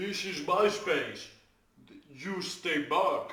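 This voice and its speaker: A man performs a put-on character voice at a high pitch. There is slight echo. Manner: gruff, warning.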